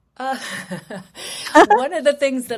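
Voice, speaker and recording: A woman with a South African accent on a very clean recording against a silent background. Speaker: human rights lawyer. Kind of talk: interview. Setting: live radio show.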